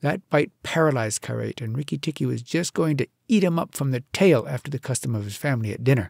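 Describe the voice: Against a quiet background, someone does plain reading aloud.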